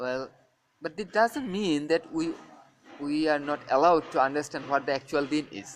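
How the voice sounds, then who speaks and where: This man has a non-native accent and a fairly high pitch. He keeps a moderate pace with ordinary pitch variation. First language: not English. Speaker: Islamic religious teacher. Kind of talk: religious lecture. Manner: halting, many fillers.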